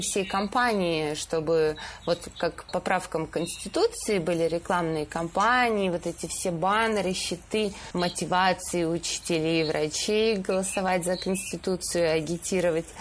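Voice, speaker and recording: At a fairly slow pace, the speaker's pitch moves in an ordinary way and the loudness stays very even, with noticeable background noise behind. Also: woman. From Stavropol region, southern Russia. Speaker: photo editor at a news agency. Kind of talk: casual chat.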